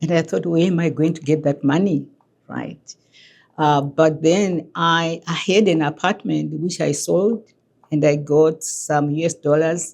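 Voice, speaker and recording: Speaking at a very deep, low pitch with vocal fry, a woman moves at a fairly slow pace with fairly even intonation. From Zimbabwe. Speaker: immigrant, former HR director, newcomer support worker. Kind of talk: documentary interview.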